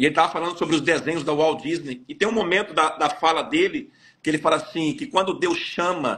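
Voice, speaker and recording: This man's voice is high in pitch. He speaks at a fairly quick pace. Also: ordinary pitch variation. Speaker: pastor. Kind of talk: testimony. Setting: live stream interview.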